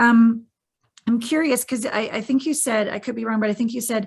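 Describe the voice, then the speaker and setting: Her voice is somewhat breathy, and this woman keeps her intonation fairly even. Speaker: podcast host. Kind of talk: podcast interview. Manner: soft, caring.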